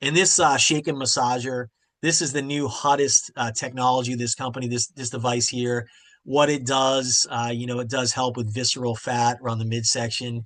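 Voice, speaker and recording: Here is a man with a plain, everyday voice at medium pitch. He keeps a moderate pace and fairly even intonation. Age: 50s. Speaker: product presenter. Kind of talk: sales presentation.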